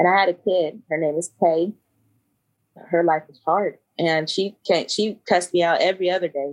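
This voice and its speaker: A woman with a fairly low pitch speaks at a moderate pace and fairly even intonation. Her loudness swings widely. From US South, Kentucky and Georgia. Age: 30s. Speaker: podcast host and English teacher. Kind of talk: casual chat.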